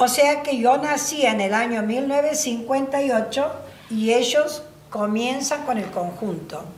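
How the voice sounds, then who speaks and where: A woman with a high pitch speaks at a very slow pace with ordinary pitch variation, amid audible room echo and noticeable background noise. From Argentina, La Banda, Santiago del Estero. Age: 60s. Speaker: folk singer. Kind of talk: interview. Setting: at her home. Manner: halting.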